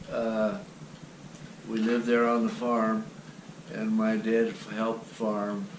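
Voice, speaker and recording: Speech comes at a very slow pace, with long, frequent pauses and a monotone, flat intonation in an American accent. Audible room echo and noticeable background noise are present. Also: man, medium pitch for a man. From US Midwest, western Ohio. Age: 80s+. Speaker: grandfather telling his life story. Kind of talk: family oral history interview.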